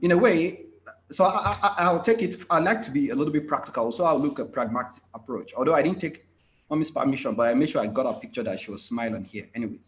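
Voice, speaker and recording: A man's high-pitched voice with very wide pitch swings at a fairly quick pace. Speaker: IT consultant. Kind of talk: conference presentation. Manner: fast.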